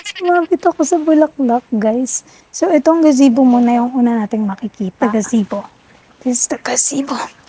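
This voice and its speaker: The voice is soft-spoken, with lively intonation and a fairly quick pace, and the sound is dry and close with no echo. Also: woman, high pitch for a woman. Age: 20s. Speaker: vlogger. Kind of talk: vlog tour.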